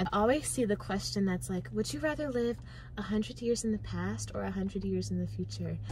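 Over noticeable background noise, a woman speaks at a moderate pace in a dry sound with no echo. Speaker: student; vlogger. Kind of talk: casual chat. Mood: playful, laughing. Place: car. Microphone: phone near.

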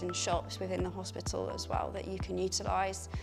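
Clear music plays in the background. The speaker's pitch varies an ordinary amount. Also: woman. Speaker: medical student tour guide. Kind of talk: guided tour presentation. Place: hall.

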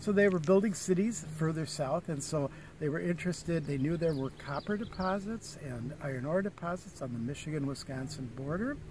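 Over noticeable background noise, a man talks at a moderate pace with ordinary pitch variation, the sound dry with no echo. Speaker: park ranger guide. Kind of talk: guided tour talk. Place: open country. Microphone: phone near.

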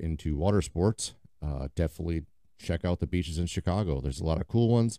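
The sound is dry with no echo, and the background is quiet. A man with a very deep, low pitch talks at a very fast pace. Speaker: podcast host. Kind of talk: casual podcast monologue. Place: garage. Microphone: studio mic.

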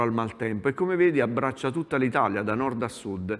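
In a quiet background, a man speaks at a fairly quick pace with lively intonation. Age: 50s. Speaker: meteorologist; TV presenter. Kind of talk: TV weather segment chat. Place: studio. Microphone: lapel.

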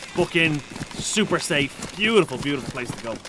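A man speaks with a Dublin accent, his voice fairly high-pitched. He talks at a moderate pace over noticeable background noise. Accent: Dublin Irish. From Ireland. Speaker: gaming streamer. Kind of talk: live gameplay commentary. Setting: live stream at home, reading chat. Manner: animated; playful.

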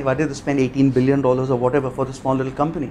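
A man's voice over light background noise. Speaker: guest. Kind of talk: talk to audience. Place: hall.

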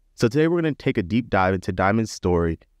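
A man's voice, dry with no echo, over a quiet background. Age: 30s. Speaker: podcast host and medical student; podcast host. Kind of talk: casual chat. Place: studio. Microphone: studio mic.

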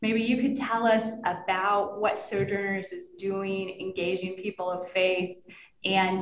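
Audible room echo surrounds a woman who speaks with fairly even intonation. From Texas and North Florida. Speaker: nonprofit director and panel moderator; panel moderator. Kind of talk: panel discussion moderation. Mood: calm, warm, earnest. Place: office. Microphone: webcam.

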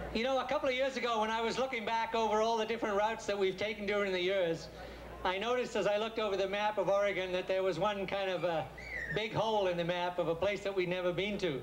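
A man's high voice at a very fast pace, with very even loudness and light background noise. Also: fairly even intonation. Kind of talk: humorous speech to a crowd. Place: stage. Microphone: handheld.

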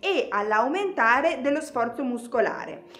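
A woman speaks with a high pitch. Her pitch swings very widely. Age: 30s. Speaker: fitness instructor. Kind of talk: tutorial; tutorial explanation to viewers. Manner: casual. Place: studio.

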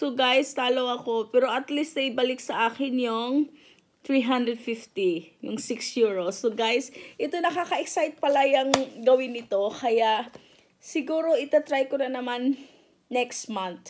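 Against a quiet background, a woman with a high pitch and ordinary pitch variation speaks at a fairly slow pace. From Philippines. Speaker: vlogger. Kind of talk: casual vlog. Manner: animated. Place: home room. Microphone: phone near.

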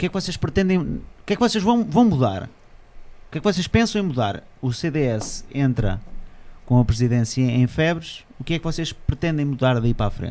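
In a European Portuguese accent, a man with a fairly high pitch and a dark, mellow tone speaks at a moderate pace with very wide pitch swings. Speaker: podcast host. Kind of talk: casual interview. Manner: animated. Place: studio. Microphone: studio mic.

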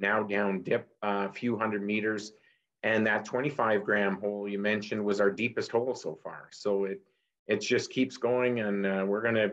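A man's fairly low, monotone voice with flat intonation, at a moderate pace against a quiet background. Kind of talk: interview answer. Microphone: video call.

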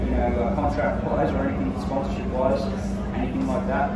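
A man talks over loud background noise. The room gives off an audible echo. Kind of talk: interview answer. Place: street. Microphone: handheld.

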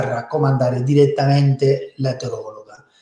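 Against a quiet background with audible room echo, a man with a fairly high pitch talks at a moderate pace in a monotone, flat way. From Spain. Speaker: fertility doctor. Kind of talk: webinar presentation. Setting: online webinar. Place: office. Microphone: webcam.

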